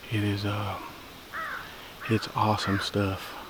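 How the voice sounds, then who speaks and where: A man with an American accent talks at a fairly slow pace in a fairly low voice. His intonation is monotone and flat, with noticeable background noise behind him. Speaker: hunting video host. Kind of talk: self-filmed hunting vlog narration. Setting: outdoors in the woods.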